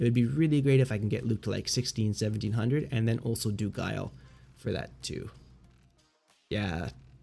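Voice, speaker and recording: Here a man speaks at medium pitch with ordinary pitch variation. His tone is dark and mellow, and somewhat breathy. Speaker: video game streamer. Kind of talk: casual livestream chat. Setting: livestream.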